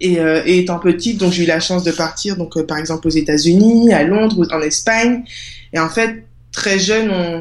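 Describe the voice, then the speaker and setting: A woman talks in a plain, everyday voice at a moderate pace. Her pitch is fairly low, with ordinary variation. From Guadeloupe. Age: 20s. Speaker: author and project creator. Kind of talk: interview.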